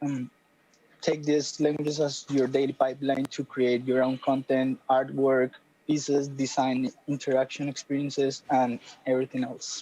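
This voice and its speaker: With a Spanish accent, a man talks at a moderate pace in a dark, mellow tone and monotone, flat intonation, the sound dry and close with no echo. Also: medium pitch for a man. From Colombia. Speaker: creative coding instructor. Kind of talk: panel discussion.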